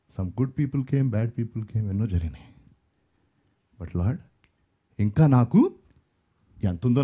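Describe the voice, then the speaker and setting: A man's somewhat breathy voice with a dark, mellow tone over a quiet background. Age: 50s. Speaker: pastor. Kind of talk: sermon. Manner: animated. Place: stage. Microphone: headset.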